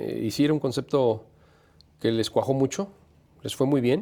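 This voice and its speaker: A man with a dark, mellow tone at a fairly quick pace. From Mexico, San Luis Potosí. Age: 40s. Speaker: sports journalist and radio host. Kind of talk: interview.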